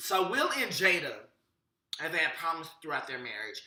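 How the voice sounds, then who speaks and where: Audible room echo follows a man's raised, projected voice, bright and sharp in tone at a moderate pace. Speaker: celebrity gossip vlogger. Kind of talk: casual commentary to camera.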